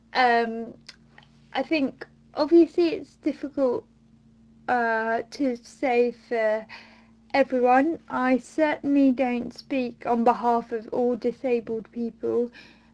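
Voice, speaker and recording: A woman with a British accent speaks at a very slow pace. Her voice is high, and her intonation is fairly even. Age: 20s. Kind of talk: recorded monologue answers.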